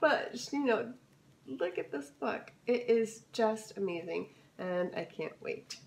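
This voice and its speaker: A woman's voice swings very widely in pitch against noticeable background noise. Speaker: lifestyle vlogger. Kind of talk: casual haul video.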